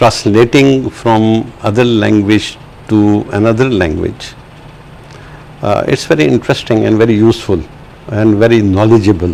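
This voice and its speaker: A man's fairly low voice at a moderate pace, with very even loudness, ordinary pitch variation, long and frequent pauses, and noticeable background noise. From Pakistan. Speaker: translator and writer. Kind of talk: interview. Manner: halting, many fillers.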